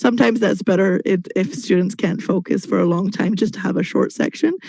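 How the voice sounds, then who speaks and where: Lively in intonation, a woman with a medium pitch speaks in a dark, mellow tone with vocal fry. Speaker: English teacher. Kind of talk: webinar presentation. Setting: video call.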